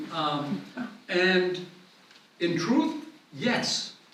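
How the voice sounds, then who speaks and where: Amid noticeable background noise and audible room echo, a man speaks in a high pitch with lively intonation. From Italy, Rome. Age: 70s. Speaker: glass artist. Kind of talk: lecture.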